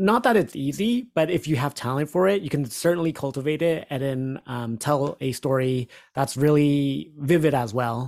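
Speaking with an American accent at a moderate pace and hardly any pauses, the voice comes through on a very clean recording with a silent background. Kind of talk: casual chat, book review discussion.

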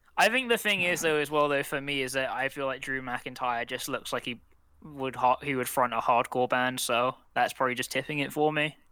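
Speaking fairly quickly, a man with a London accent has a bright, sharp tone. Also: medium pitch for a man, ordinary pitch variation. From southwest London. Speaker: podcast co-host. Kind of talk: casual chat.

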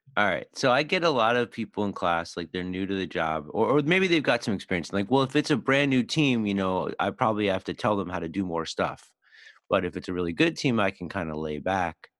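A man with an American accent speaks in a normal speaking voice at a fairly low pitch. His pace is fairly quick and his intonation lively. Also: very clean recording, silent background. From US Northeast, Philadelphia. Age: 50s. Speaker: podcast host and agile trainer. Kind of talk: casual interview chat.

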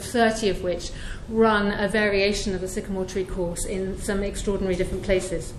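A woman's fairly high voice at a fairly quick pace with fairly even intonation, over noticeable background noise. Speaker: prison course tutor and charity trustee. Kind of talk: talk to an audience at an event.

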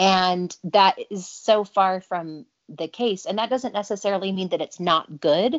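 A woman with a Utah accent, fairly slow pace, hardly any pauses, medium pitch and ordinary pitch variation. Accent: American (Utah). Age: 30s. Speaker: businesswoman and speaker. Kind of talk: interview testimony.

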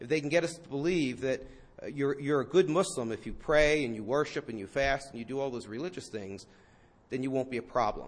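A man with a fairly high voice talks at a fairly quick pace. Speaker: professor. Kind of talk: lecture. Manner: mild-mannered, understated.

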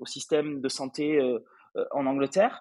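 Nothing stirs in the background. The audio sounds close and dry, free of echo. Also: man. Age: 30s. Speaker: startup founder. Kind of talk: interview. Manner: hesitant, many filler sounds.

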